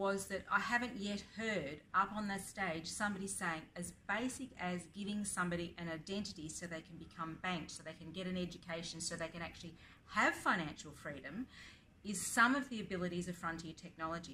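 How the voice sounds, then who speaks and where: A woman speaks fairly quickly in an Australian accent, medium in pitch with a bright, sharp tone. Her loudness swings widely, and audible room echo surrounds her. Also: ordinary pitch variation. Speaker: blockchain advocate and educator. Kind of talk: interview. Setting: conference.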